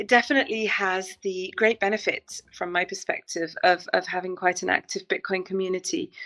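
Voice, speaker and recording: Her bright, sharp tone at a medium pitch and moderate pace shows ordinary pitch variation as the woman speaks with a dry, close sound and no echo. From northern England, Manchester. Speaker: bitcoin community organizer. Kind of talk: interview. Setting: live stream. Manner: hesitant fillers.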